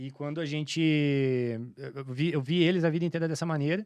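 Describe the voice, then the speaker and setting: This man's very fast delivery sits at a fairly high pitch, its pitch variation ordinary. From Santa Catarina interior, southern Brazil. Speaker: entrepreneur, franchise business owner. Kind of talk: podcast interview, casual. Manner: halting, many fillers and restarts.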